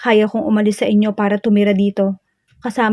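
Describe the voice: Against a quiet background, the text gets plain reading aloud.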